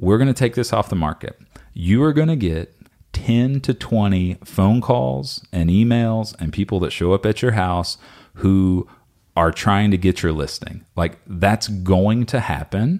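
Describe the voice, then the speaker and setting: Lively intonation marks a man's fairly low voice as he speaks at a fairly slow pace. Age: 30s. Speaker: real estate brokerage co-owner and guest. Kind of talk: casual interview chat.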